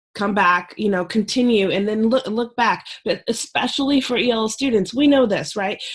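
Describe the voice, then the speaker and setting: Moderately paced speech shows ordinary pitch variation and a somewhat breathy quality. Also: woman, fairly high pitch for a woman. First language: not English. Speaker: ELL specialist and presenter. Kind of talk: presentation to teachers. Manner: hesitant, many fillers.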